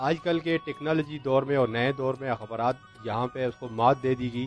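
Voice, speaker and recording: A man's medium-pitched voice over background music. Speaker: local news reporter. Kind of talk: TV news street report.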